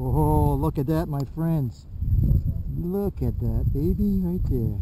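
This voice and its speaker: Very slow delivery, noticeable background noise, and a dry sound with no echo. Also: man. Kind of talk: casual vlog chat. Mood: excited about a find. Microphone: phone near.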